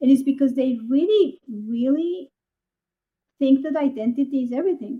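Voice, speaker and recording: A woman speaks at a high pitch with ordinary pitch variation. Her pace is moderate. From Colombia. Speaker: artist. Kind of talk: casual chat.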